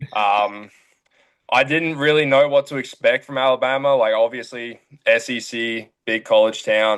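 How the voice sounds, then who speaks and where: A man speaks with an Australian accent. His intonation stays fairly even. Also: medium pitch for a man, moderate pace. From Australia, near Brisbane. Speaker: college baseball player. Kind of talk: casual interview. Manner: casual, filler-heavy.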